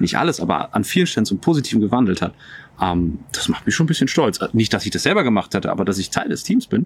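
Very wide pitch swings at a very fast pace. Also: man, medium pitch for a man. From northern Germany. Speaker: pastor. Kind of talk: casual interview chat. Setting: outdoors in a garden.

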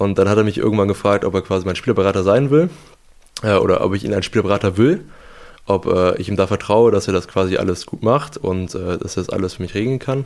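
Very fast speech with ordinary pitch variation. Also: man, fairly low pitch for a man. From western Germany, Lower Rhine (Ruhr-born). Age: young. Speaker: handball goalkeeper. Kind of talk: casual interview. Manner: hesitant with frequent fillers.

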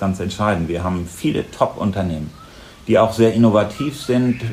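Noticeable background noise sits under this recording. A man talks at a very fast pace in a fairly low pitch. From northern Germany, Lower Saxony. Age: 50s. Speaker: mayor and candidate. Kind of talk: interview.

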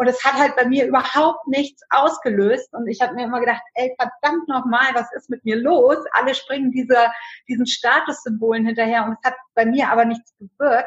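Hardly pausing at all, a woman with a high pitch speaks at a moderate pace with fairly even intonation. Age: 40s. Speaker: direct sales entrepreneur. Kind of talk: interview.

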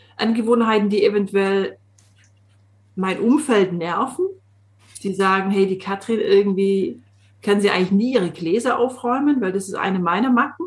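A somewhat breathy woman speaks in a slight Swabian accent with ordinary pitch variation. Her pace is moderate, with long, frequent pauses. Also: medium pitch for a woman. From Swabian Jura, Swabia (southern Germany). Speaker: coach. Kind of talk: casual chat.

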